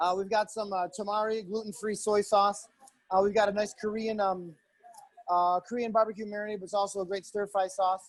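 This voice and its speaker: A man speaks in a high voice at a fairly quick pace. His intonation stays flat and monotone. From Italian-American family. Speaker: chef. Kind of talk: cooking demonstration. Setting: video call. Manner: fast; hesitant, many fillers.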